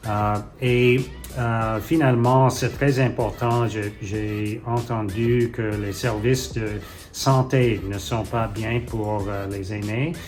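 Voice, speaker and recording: With audible room echo and music in the background, the speaker talks at a very slow pace with fairly even intonation. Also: man, medium pitch for a man. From Ottawa, Canada. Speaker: mayoral candidate. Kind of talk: interview. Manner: halting, many hesitations.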